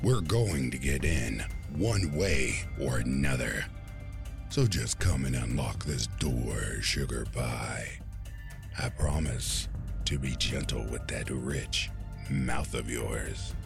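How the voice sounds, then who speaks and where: Over loud music in the background, a man talks at a fairly slow pace. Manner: leering, sing-song taunting, menacing.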